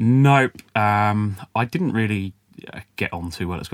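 A man speaks with a southern English accent. The recording is very clean, with a silent background. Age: 20s. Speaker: business founder. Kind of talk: interview. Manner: hesitant, many fillers.

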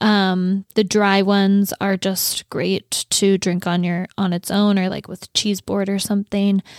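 A woman's fairly slow, monotone speech with flat intonation, on a very clean recording with a silent background. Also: medium pitch for a woman. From North Dakota, US. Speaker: podcast co-host. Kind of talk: casual chat. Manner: chatty, laughs often.

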